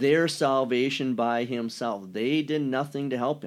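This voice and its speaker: On a very clean recording with a silent background, a man speaks at a fairly slow pace, with a medium pitch and fairly even intonation. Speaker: pastor. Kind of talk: casual chat.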